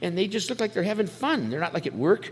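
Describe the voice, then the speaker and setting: This man talks at a very fast pace in an American accent, his pitch swinging very widely. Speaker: recovering alcoholic speaker, military veteran. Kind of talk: testimony. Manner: casual, animated.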